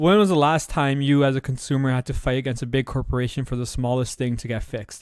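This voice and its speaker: Speech comes at a very fast pace with hardly any pauses. The recording is very clean, with a silent background. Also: man, medium pitch for a man, ordinary pitch variation. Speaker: podcast host. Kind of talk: solo podcast commentary.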